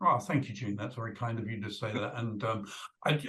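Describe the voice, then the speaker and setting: A man talks in a British accent, his pitch varying in an ordinary way. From UK. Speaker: video producer. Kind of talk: interview.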